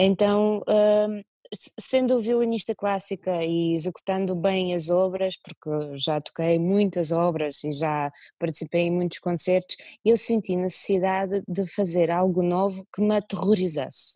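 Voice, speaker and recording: Against a quiet background, a woman with a dark, mellow tone speaks at a fairly slow pace with fairly even intonation in a dry sound with no echo. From Russia (Moscow); Russia. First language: Russian (speaking Portuguese). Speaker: violinist and singer; interviewee. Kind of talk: interview. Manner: halting. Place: home room. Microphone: earbuds.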